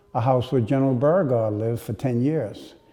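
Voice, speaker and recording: This man speaks with a New Orleans accent. His tone is dark and mellow. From New Orleans, Louisiana, USA. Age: 80s+. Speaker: physician ophthalmologist. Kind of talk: oral history interview answer.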